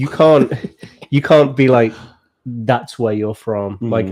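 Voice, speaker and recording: Speaking at a very slow pace, the man has a medium pitch and ordinary pitch variation. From England. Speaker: podcast co-host.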